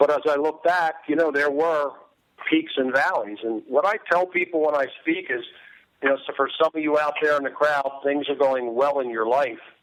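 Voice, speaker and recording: With fairly even intonation and an American accent, an unremarkable speaking voice keeps a moderate pace. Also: man, fairly high pitch for a man. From Delaware, US. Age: 60s. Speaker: former football player and speaker. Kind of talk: interview.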